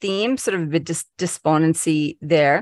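A woman's normal speaking voice, fairly low in pitch, at a moderate pace with ordinary pitch variation, in a very clean, dry, close recording with no echo and a silent background. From Canada. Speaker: leadership futurist. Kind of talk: casual interview conversation.

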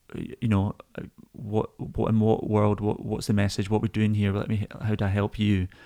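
Speaking in a Scottish accent, a man uses a fairly low, dark and mellow voice with monotone, flat intonation at a moderate pace. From Scotland. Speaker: lighting designer. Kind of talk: casual chat.

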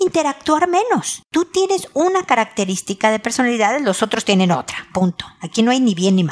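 A woman speaks with a Mexican accent. Her voice sits high and her pitch swings very widely. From Mexico. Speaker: relationship advice podcaster. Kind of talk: advice monologue.

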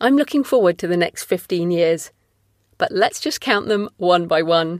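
A woman with a normal speaking voice, medium pitch, lively intonation and a moderate pace. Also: dry, close sound with no echo, very clean recording, silent background. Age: 40s. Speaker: podcast host and author. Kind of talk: solo monologue. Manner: scripted reading.

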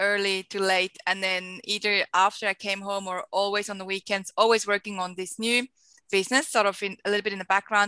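A woman with a Swiss accent, bright and sharp in tone, at a medium pitch and fairly quick pace, monotone and flat in intonation, her sound dry and close with no echo over a quiet background. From Switzerland. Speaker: entrepreneur and marketing educator. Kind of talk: interview. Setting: video call.

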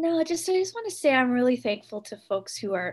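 A woman with a somewhat breathy voice speaks at a moderate pace, her pitch swinging very widely. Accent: Canadian. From Ontario, Canada. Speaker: folk musician. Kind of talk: interview. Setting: video call.

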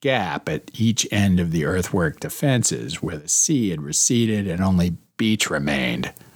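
Someone reads a text aloud in a natural voice.

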